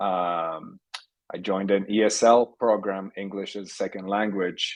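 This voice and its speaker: Against a quiet background, a man with a Polish accent speaks at a fairly low pitch in a monotone with flat intonation. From Poland, Warsaw. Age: 50s. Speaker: technology entrepreneur. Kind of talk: podcast interview.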